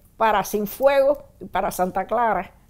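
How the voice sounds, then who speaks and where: A woman talks at a moderate pace. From Cuba, Havana. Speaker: former political prisoner. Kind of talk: testimony. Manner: halting, with repetitions.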